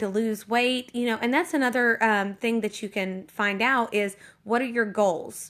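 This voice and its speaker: Over a quiet background, a woman with a fairly high pitch talks at a moderate pace with ordinary pitch variation. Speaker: network marketing team leader. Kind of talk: casual livestream tips talk. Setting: Periscope livestream. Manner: hesitant, many fillers.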